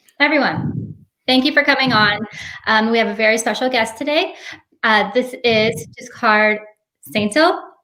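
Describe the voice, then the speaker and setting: With a bright, sharp tone and a fairly high pitch, a woman speaks at a moderate pace with lively intonation, very even loudness and long, frequent pauses. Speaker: show host. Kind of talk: interview. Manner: stutters when nervous.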